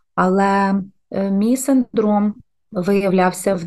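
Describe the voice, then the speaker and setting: A woman uses a normal speaking voice at a medium pitch, with fairly even intonation. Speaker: podcast co-host, mother, former diplomat. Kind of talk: casual chat.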